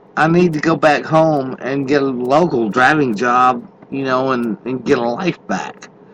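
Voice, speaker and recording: Amid noticeable background noise, the speech moves at a fairly slow pace with hardly any pauses and ordinary pitch variation. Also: man, medium pitch for a man. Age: 50s. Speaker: truck driver podcaster. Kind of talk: casual monologue. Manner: halting, many fillers; unscripted off the cuff.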